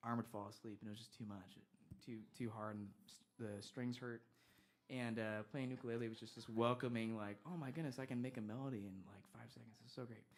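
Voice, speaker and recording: A man of medium pitch speaks at a fairly quick pace with fairly even intonation and big swings in loudness. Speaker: singer-songwriter. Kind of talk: on-stage banter between songs.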